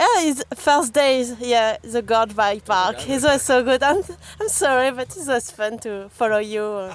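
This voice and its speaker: A woman speaks with a strong French accent. Her pitch is high and her pace fairly slow. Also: ordinary pitch variation. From France. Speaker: enduro mountain biker. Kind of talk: casual interview. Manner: halting.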